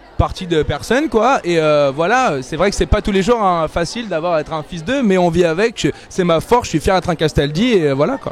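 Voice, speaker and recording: A man talks at a fairly quick pace in a high pitch, with lively intonation and hardly any pauses. Noticeable background noise runs behind him. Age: 20s. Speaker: TV columnist. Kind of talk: interview. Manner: fast.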